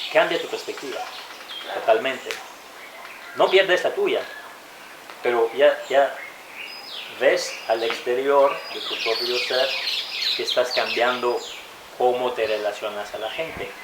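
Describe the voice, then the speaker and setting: A man at a very slow pace, with long, frequent pauses, audible room echo and noticeable background noise. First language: French and English (speaking Spanish). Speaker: interviewee, foreign resident. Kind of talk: interview. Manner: halting, self-correcting.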